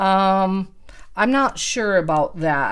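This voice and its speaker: A woman's medium-pitched voice with a Midwestern accent. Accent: Midwestern twang. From US Midwest. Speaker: realtor. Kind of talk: market commentary responding to prompts. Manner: casual, with fillers.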